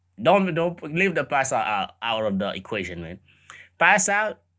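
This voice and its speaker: A man with a Caribbean accent speaks in a bright, sharp tone, his pitch swinging very widely. The recording is very clean with a silent background. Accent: Caribbean island. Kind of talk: casual reaction commentary.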